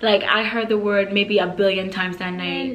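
A woman is speaking over light background noise. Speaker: beauty vlogger. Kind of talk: casual vlog storytelling. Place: home room.

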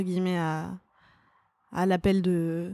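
A very clean recording with a silent background carries a monotone, flat intonation. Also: woman. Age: 30s. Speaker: stand-up comedian and screenwriter. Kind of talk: casual chat.

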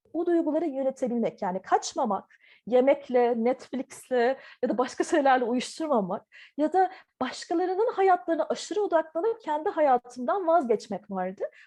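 A woman's high, dark, mellow voice at a moderate pace, with very wide pitch swings. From Turkey (Ankara), partly Taiwan. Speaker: visual artist. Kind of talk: interview. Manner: hesitant, many filler sounds.

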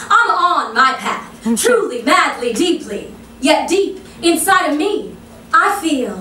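A raised, projected voice moves at a very slow pace with very wide pitch swings. Long, frequent pauses break it up against noticeable background noise. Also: woman. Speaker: stage actress and poet. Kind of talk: spoken word poetry performance. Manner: impromptu.

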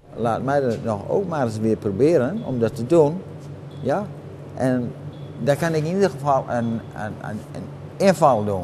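Noticeable background noise sits behind a man speaking at a fairly slow pace with a medium pitch. His intonation is lively, and he takes long, frequent pauses. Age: 80s+. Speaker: car mechanic. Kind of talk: interview answer. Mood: cheerful, content. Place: garage. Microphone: lapel.

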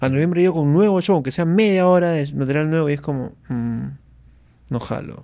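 A dark, mellow tone at a fairly quick pace, with ordinary pitch variation and a quiet background. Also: man. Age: 40s. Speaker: stand-up comedian; podcast guest, comedian. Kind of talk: casual chat. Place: studio. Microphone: studio mic.

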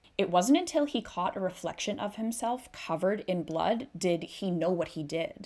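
A woman with a Canadian accent speaks at a medium pitch and moderate pace with lively intonation. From Canada. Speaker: true crime YouTuber. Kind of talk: true-crime narration, retelling a grisly case in a serious, storytelling tone. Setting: solo video recording. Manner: conversational and casual, with a steady, sombre pace during the gruesome parts. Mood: serious, somber. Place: home room. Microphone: studio mic.

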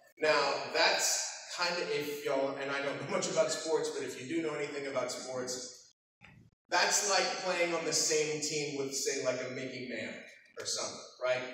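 In a room with strong echo and light background noise, a man with an American accent speaks at a moderate pace with fairly even intonation. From Texas. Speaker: voice actor. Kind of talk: convention panel talk with audience. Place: hall. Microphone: camera far.

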